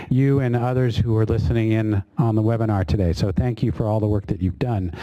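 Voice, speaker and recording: Noticeable background noise accompanies a man speaking fairly quickly at a medium pitch with ordinary pitch variation. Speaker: government official moderating a public workshop. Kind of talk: workshop opening remarks. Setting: meeting room with audience, webinar. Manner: hesitant, many fillers.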